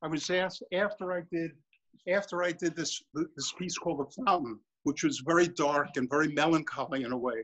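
A man with a New York accent speaks in a high-pitched voice. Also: ordinary pitch variation. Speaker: artist and sculptor. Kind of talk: studio tour and demonstration. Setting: video call. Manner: animated, repetitive.

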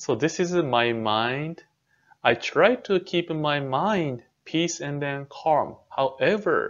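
A man speaks very slowly, and the background is quiet. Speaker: temple minister. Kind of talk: dharma talk lecture. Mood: calm, gentle. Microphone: webcam.

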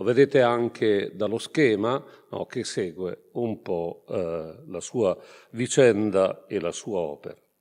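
Against a quiet background, a man with an Italian accent talks very slowly in a fairly low pitch, with ordinary pitch variation. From northern Italy, Brescia province. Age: 60s. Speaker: priest and theology professor. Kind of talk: lecture. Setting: conference hall with audience. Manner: halting. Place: hall. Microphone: podium.

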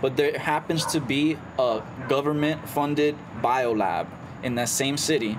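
This man talks with noticeable background noise behind him. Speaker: podcast co-host. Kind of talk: casual chat.

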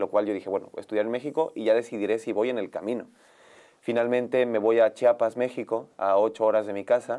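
A man's dark, mellow, medium-pitched voice, monotone and flat, at a fairly quick pace against a quiet background. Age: 20s. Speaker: youth pastor. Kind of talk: testimony. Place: studio.

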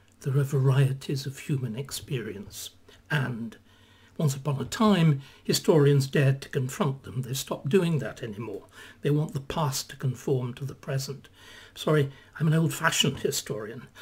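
With ordinary pitch variation, a man speaks at a moderate pace in a somewhat breathy voice. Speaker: historian commentator. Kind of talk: commentary. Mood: opinionated, slightly sardonic. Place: home room. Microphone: webcam.

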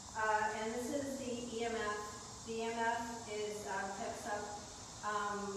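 The recording carries a strong room echo. Noticeable background noise runs beneath it. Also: woman. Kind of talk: casual explanation. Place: tunnel cave.

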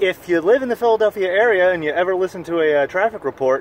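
A man talks at a fairly quick pace. The sound is dry with no echo, and there is noticeable background noise. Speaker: sailor vlogger. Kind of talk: casual vlog chat. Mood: enthusiastic, relaxed. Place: boat. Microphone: phone near.

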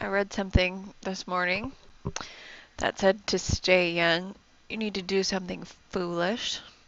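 A soft-spoken woman talks at a fairly slow pace. Her pitch moves little. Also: medium pitch for a woman, fairly bright tone.

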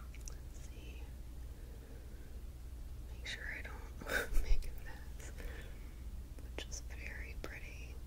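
Over loud background noise, a woman speaks at a very slow pace with long, frequent pauses. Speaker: ASMR creator. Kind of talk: ASMR whispering. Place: home room. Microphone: studio mic.

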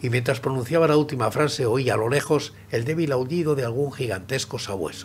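Music plays in the background as a man speaks. His pace is fairly quick, with ordinary pitch variation. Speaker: audiobook narrator. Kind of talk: dramatic story reading. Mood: grave, suspenseful.

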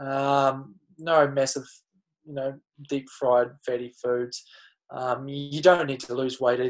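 A man speaks in a New Zealand accent at a moderate pace and a fairly high pitch. The background is quiet. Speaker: Olympic triathlete; running coach. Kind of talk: casual chat. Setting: video call. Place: home room. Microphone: webcam.

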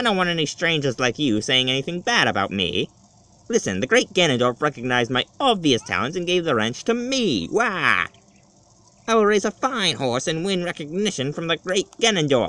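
A put-on character voice with very wide pitch swings comes at a moderate pace, the sound dry and close with no echo. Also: man, high pitch for a man. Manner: sly, boastful.

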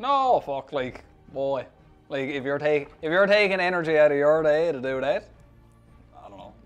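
With faint music in the background, a man with a Newfoundland accent speaks at a moderate pace, leaving long, frequent pauses, his loudness swinging widely and his pitch varying in an ordinary way. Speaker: social media personality. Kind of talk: interview answer. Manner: casual, profane. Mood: relaxed, joking. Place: studio.

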